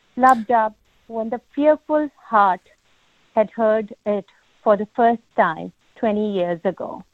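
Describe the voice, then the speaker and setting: A woman with a strong non-native accent talks at a very slow pace, with long, frequent pauses. Her voice is fairly high and shows ordinary pitch variation. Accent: heavy non-native accent (self-described). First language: not English. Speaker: caller reading own poem. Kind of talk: poetry reading. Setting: phone call into live session.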